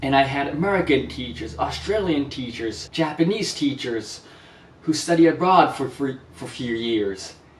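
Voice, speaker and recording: Noticeable background noise sits behind a man's voice. He speaks fairly high with lively intonation. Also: moderate pace, big swings in loudness. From Japan. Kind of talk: vlog monologue.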